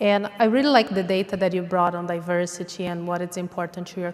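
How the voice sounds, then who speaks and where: A woman's fairly low-pitched voice with a non-native accent and fairly even intonation. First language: not English. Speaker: pitch competition judge. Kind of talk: judge feedback. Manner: hesitant.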